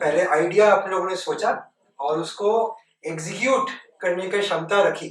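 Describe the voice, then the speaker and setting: A man's voice with ordinary pitch variation. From West Bengal, India. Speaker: nonprofit director, former tech executive. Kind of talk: interview, talk to students. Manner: hesitant, many filler sounds.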